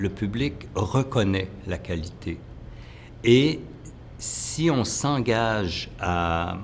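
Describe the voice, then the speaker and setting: A man speaks with lively intonation. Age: 60s. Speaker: choreographer. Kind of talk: interview. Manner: halting, many hesitations.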